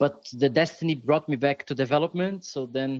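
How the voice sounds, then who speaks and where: A man with a Brazilian accent, fairly high pitch, moderate pace and fairly even intonation, in a dry, close sound with no echo. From Brazil, São Paulo. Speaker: software developer and security conference organizer. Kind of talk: podcast interview.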